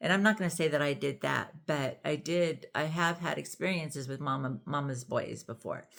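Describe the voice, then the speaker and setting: A woman with a very deep, low voice talks at a moderate pace. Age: 60s. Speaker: YouTuber discussing parenting and relationships. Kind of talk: casual vlog monologue. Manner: conversational, with frequent fillers.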